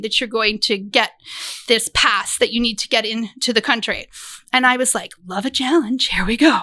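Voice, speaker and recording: A woman's raised, projected voice, bright and sharp in tone, at a fairly quick pace. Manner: animated storyteller.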